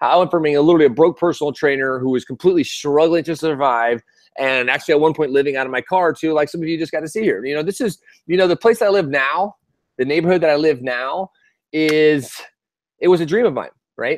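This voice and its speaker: In an American accent, a man with a fairly high pitch talks very fast in an animated, enthusiastic tone with ordinary pitch variation, the sound dry with no echo over a quiet background. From Texas. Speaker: online business coach. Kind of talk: live sales webinar. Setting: live video stream. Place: street. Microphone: earbuds.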